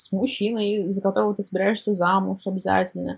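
Medium-pitched, somewhat breathy speech from a woman, dark and mellow in tone, at a moderate pace. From Kazan, Russia. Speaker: guest, telegram channel author. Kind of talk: personal story.

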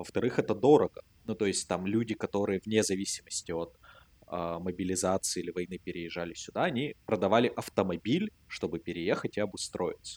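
This man has an ordinary speaking voice, fairly low in pitch, with ordinary pitch variation and a fairly quick pace. The sound is dry and close with no echo, on a very clean recording with a silent background. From Russia. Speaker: podcast co-host. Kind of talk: casual chat.

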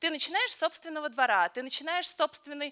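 The voice is raised and projected, at a very fast pace. The sound is dry and close with no echo. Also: woman. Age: 20s. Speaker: photojournalist. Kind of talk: panel discussion.

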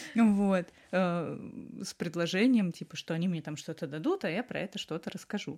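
A woman of medium pitch speaks in an unremarkable speaking voice at a moderate pace with ordinary pitch variation. The recording is very clean with a silent background. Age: 20s. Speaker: illustrator. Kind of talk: interview.

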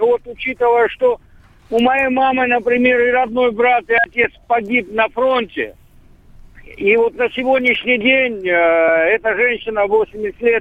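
At a fairly slow pace, a man talks with an extremely high pitch. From Poland. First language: Polish (speaking Russian). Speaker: political scientist. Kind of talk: political discussion. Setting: phone call.

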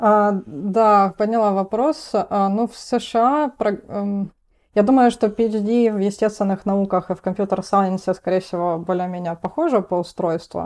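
A woman talks at a fairly slow pace in a medium pitch. Her pitch variation is ordinary, and the background is quiet. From Russia, Rostov-on-Don. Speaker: PhD student in programming languages. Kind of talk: technical interview. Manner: hesitant fillers.

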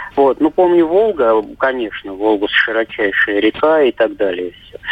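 There is noticeable background noise as a man speaks at a moderate pace. His medium pitch swings very widely. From Moscow. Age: 50s. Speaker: caller. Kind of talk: phone-in storytelling. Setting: phone call.

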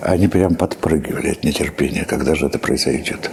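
There is noticeable background noise as a man speaks at a very deep, low pitch. His pace is moderate and his pitch variation ordinary. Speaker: historian commentator. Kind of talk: interview, explanatory.

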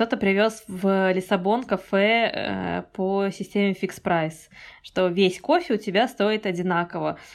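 A woman talks at medium pitch with ordinary pitch variation. The recording is very clean, with a silent background. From Kazakhstan. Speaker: emigrant photographer. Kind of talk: casual interview. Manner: animated.

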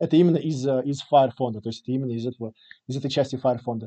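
A man's medium-pitched, dark, mellow voice at a very fast pace, with ordinary pitch variation. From Latvia, Riga. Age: 30s. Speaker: early-retired investor. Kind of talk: interview. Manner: hesitant with frequent fillers.

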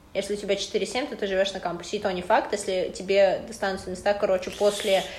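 Noticeable background noise surrounds a woman's voice. She talks at a fairly quick pace and medium pitch. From Russian Far East, Khabarovsk. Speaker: university student. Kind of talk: casual chat.

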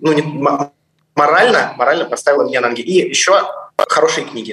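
Here a man talks at a fairly quick pace. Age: 20s. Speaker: fund manager. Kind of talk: casual chat. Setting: video call.

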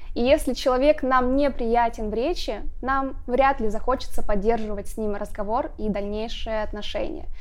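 Her pitch is high, and it varies in an ordinary way. The woman talks at a moderate pace. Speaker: speech and voice coach. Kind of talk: monologue talk to camera.

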